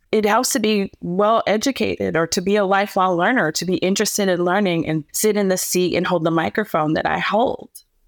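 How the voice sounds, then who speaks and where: A woman with an American accent and an ordinary speaking voice, at a fairly quick pace with hardly any pauses, very even loudness and ordinary pitch variation. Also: medium pitch for a woman. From US Midwest (Canton, Ohio). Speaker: MC and event host, former news anchor. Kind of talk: interview.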